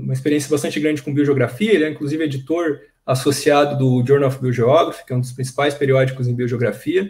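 Against a quiet background, a man speaks with a fairly high pitch and a somewhat breathy voice. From Brazil. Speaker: professor, seminar host; host introducing a speaker. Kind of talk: speaker introduction. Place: home room. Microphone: webcam.

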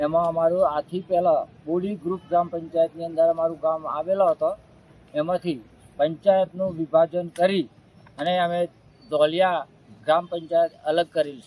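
The tone is dark and mellow, delivered in a flat monotone. The sound is dry and close, with no echo. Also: man, high pitch for a man. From Gujarat, Aravalli district. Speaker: village leader. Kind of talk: interview statement. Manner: halting.

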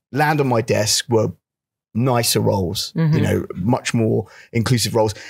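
A man with a London accent, medium pitch, ordinary pitch variation, somewhat breathy, at a moderate pace against a quiet background. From London, England. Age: 40s. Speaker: actor and stand-up comedian. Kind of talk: interview answer. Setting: live panel event. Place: hall. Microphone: handheld.

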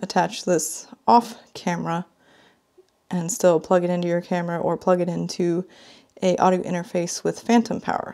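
A woman talks at a fairly quick pace in a dark, mellow tone. The background is quiet. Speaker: product reviewer. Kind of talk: unboxing commentary.

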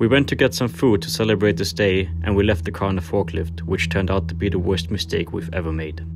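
A man with a German accent, very deep and low in pitch and somewhat breathy, talking very fast with hardly any pauses and ordinary pitch variation. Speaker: car YouTuber. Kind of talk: casual vlog narration.

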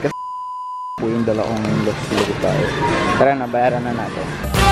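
A man's voice over loud background noise. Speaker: vlogger. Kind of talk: casual vlog chat. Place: shop. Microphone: phone near.

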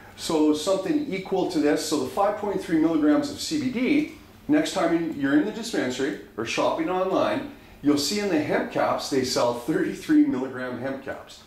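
Audible room echo surrounds a man speaking at a fairly slow pace with a high pitch. His tone is animated and enthusiastic, with very wide pitch swings. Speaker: dispensary educator. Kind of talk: pitchman-style product demo, upbeat sales pitch with repeated 'right?' tags. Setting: video recording showing products to camera. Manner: animated, enthusiastic, persuasive, repeatedly checking for agreement. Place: home room. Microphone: camera far.

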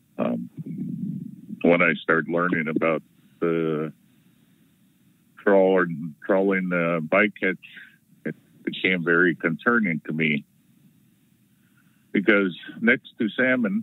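A man at a very slow pace, very deep and low in pitch, with long, frequent pauses, in a dry sound with no echo. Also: ordinary pitch variation. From Southeast Alaska; Alaska. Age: 60s. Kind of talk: public testimony. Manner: halting. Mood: earnest, concerned. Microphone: video call.

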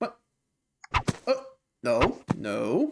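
A man's voice amid loud background noise. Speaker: reaction youtuber. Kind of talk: casual reaction commentary. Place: home room.

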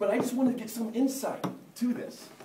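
Noticeable background noise fills the clip. Over it, a man talks at a fairly quick pace. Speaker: marketing conference speaker. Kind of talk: conference talk. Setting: stage with audience. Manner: humorous.

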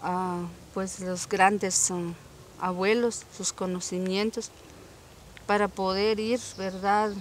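A woman at a very slow pace with long, frequent pauses and monotone, flat intonation, dry sound with no echo, light background noise. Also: medium pitch for a woman. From Zacualpa, Guatemala. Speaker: medicinal plant knowledge advocate. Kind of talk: interview answer. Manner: hesitant, reflective. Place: farm.

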